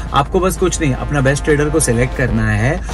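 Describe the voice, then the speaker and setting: A man speaks in a dry sound with no echo. Music is clearly heard in the background. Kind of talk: sponsored promo talk. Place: car. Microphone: phone near.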